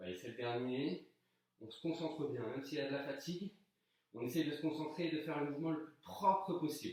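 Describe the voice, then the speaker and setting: Fairly high-pitched, a man talks at a fairly quick pace with ordinary pitch variation and big swings in loudness. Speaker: fitness coach. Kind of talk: workout instruction. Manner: soft-spoken.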